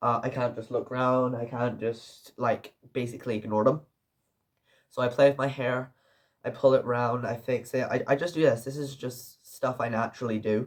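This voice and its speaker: A man's somewhat breathy voice at medium pitch, monotone and flat in intonation, at a moderate pace. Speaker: film reviewer. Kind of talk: casual video review. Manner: halting, with self-corrections.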